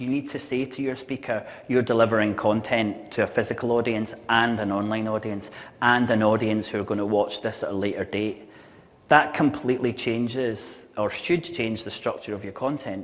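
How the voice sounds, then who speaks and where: A man with a Scottish accent speaks with fairly even intonation. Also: medium pitch for a man, moderate pace. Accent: noticeable Scottish. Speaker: events industry speaker. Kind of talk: conference keynote talk. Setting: stage with audience.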